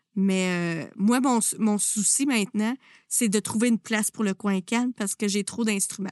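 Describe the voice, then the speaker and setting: Speaking with a Quebec accent, a woman uses a fairly high pitch and fairly even intonation at a fairly slow pace, her sound dry and close with no echo over a quiet background. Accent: Québécois French. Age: 30s. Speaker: music teacher and podcast host. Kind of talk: interview.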